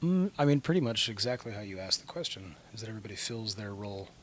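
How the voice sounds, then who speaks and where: A man speaks at a very fast pace. He is soft-spoken, with a fairly low pitch. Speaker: rock band singer. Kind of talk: interview. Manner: hesitant, filler-heavy.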